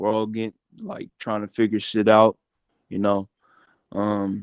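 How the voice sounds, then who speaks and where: The speaker is a man with a fairly low pitch. He talks at a fairly slow pace in monotone, flat intonation. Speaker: rapper, podcast co-host. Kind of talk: casual chat.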